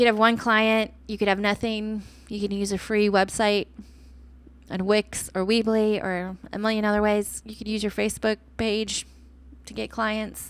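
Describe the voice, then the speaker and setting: Speech with an American accent comes at a moderate pace. Loudness swings widely while the intonation stays flat and monotone. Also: woman, fairly high pitch for a woman. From Texas, Austin. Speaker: podcast host, entrepreneur. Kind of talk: solo podcast monologue. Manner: casual, conversational.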